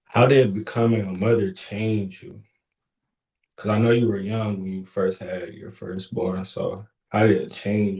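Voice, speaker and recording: A man speaks at a fairly low pitch and a fairly slow pace, his intonation fairly even. His voice is somewhat breathy, with big swings in loudness. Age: 20s. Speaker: host's son. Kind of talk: casual chat.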